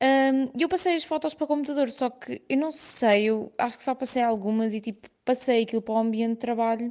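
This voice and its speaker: A high-pitched woman's voice, fairly quick with hardly any pauses and ordinary pitch variation. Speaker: listener sharing a story. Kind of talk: voice message storytelling. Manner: halting.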